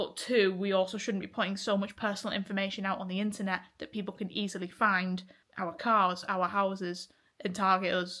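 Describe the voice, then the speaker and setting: A woman with an English accent, bright, sharp tone, monotone, flat intonation and fairly quick pace, on a very clean recording with a silent background. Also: medium pitch for a woman. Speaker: vlogger. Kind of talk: casual vlog monologue.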